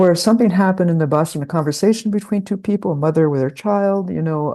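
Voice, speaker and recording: Very fast and with ordinary pitch variation, a woman with an American accent speaks in a fairly low, dark, mellow tone on a very clean recording with a silent background. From United States. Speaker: writer and author. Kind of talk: interview conversation. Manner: halting, with frequent restarts.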